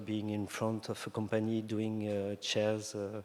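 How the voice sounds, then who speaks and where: A man with a French accent, fairly low-pitched for a man, monotone and flat in intonation, at a very slow pace. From France (Brittany). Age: 50s. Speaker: designer. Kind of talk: interview on stage. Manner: halting.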